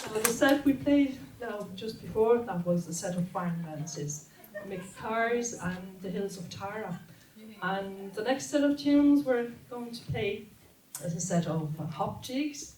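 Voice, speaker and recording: Amid noticeable background noise and audible room echo, a woman speaks at a fairly slow pace with very wide pitch swings. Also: medium pitch for a woman, big swings in loudness. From Austria. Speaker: trad musician and student. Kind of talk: stage introduction of music set. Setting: stage with audience at community centre.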